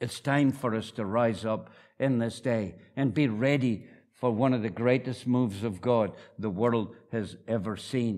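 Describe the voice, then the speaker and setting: With a northeast Scottish accent, a man talks in a warm tone at a medium pitch, a fairly slow pace and fairly even intonation. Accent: Scottish, northeast Scots. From northeast Scotland. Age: 70s. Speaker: visiting preacher, church founder. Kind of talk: sermon. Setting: church with congregation. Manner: warm, humorous, preaching.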